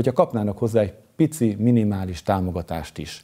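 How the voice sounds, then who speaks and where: A man with a fairly low pitch and a dark, mellow tone talks at a fairly quick pace with ordinary pitch variation, on a very clean recording with a silent background. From Hungary, Eger. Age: 50s. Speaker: mayoral candidate. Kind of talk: campaign speech. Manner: formal.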